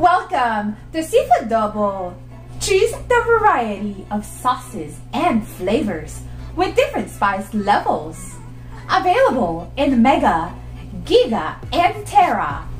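Over faint background music and audible room echo, a woman talks at a very slow pace. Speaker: voice actor. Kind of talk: radio or TV commercial read. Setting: home studio. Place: home room.

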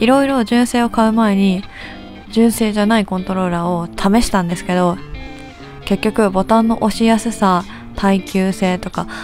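Music plays in the background as a woman speaks at a medium pitch. Her intonation is fairly even and her pace moderate. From Japan. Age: 20s. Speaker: game streamer. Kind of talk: casual talk to camera, product review.

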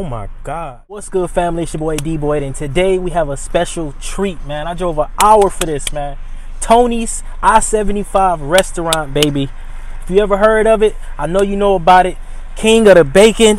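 Light background noise sits under a dry sound with no echo as a man talks at a moderate pace. His pitch is high, with ordinary pitch variation and big swings in loudness. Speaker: vlogger. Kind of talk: casual vlog chat. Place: car. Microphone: phone near.

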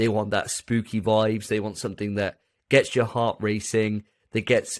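With an English accent, a man speaks in a fairly low voice at a moderate pace against a quiet background. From England. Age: 30s. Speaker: podcast host. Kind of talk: casual chat. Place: home room. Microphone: studio mic.

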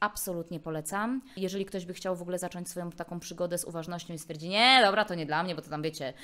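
A woman speaks in a fairly low pitch. Her tone is animated. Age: 30s. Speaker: speech therapist. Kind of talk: casual chat. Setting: attic flat. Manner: fast.

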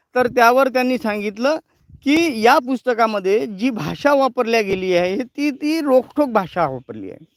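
The recording is dry and close with no echo, capturing a man whose pitch is extremely high, with ordinary pitch variation. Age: 40s. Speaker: news channel editor and farmer. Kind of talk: live editorial commentary. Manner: halting, many pauses.

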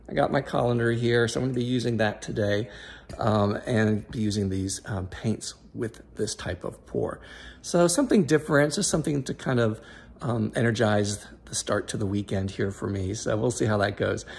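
A man talks at a moderate pace with ordinary pitch variation. His voice is somewhat breathy. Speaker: fluid art hobbyist vlogger. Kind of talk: casual vlog chat. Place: home room. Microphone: phone near.

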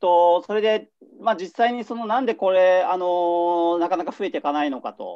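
Pitched high, a man's voice has a dark, mellow tone. He speaks at a moderate pace with ordinary pitch variation. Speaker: journalist. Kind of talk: video discussion. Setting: video call from home. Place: home room. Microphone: webcam.

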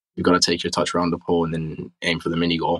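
At a very fast pace, a speaker with an American accent and a bright, sharp tone talks over a quiet background. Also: man. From Texas, USA. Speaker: professional footballer. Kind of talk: interview answer. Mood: relaxed, friendly. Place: home room. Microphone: webcam.

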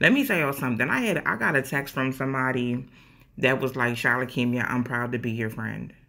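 This woman's voice is very deep. Her pitch sits very low. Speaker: social media creator. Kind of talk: casual vlog chat, motivational. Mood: earnest, heartfelt, emphatic. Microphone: phone near.

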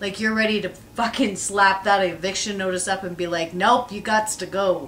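Fairly even intonation at a moderate pace over light background noise. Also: woman. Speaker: tarot reader. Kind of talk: tarot reading commentary. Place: home room. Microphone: camera far.

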